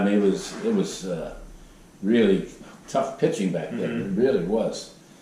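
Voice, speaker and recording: A man talks in an American accent at a moderate pace. Noticeable background noise can be heard. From Southwestern Pennsylvania. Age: 80s+. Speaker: former professional baseball pitcher. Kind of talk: interview answer.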